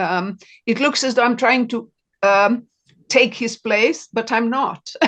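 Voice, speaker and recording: Using a very slow pace, a woman with a Serbian accent speaks in a fairly high pitch with ordinary pitch variation. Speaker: novelist. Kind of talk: interview.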